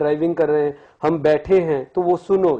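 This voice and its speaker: Against a quiet background, a man talks at a moderate pace in a high pitch with a dark, mellow tone. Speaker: guest. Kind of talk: interview answer. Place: studio. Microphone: lapel.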